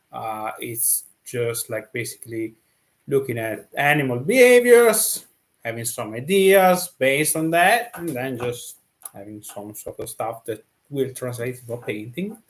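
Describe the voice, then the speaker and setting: A man talks in an Italian accent with lively intonation and a medium pitch. His loudness swings widely. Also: fairly slow pace. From Italy. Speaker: painter and streamer. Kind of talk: casual live stream exploration. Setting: live stream with screen share. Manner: halting, many fillers; slow, relaxed.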